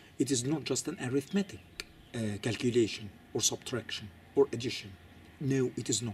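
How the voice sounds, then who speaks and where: Somewhat breathy and medium in pitch, a man with a non-native accent talks at a fairly quick pace, using ordinary pitch variation and long, frequent pauses. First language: not English. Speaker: Coptic Orthodox commentator. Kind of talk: lecture. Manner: halting, many fillers and repetitions.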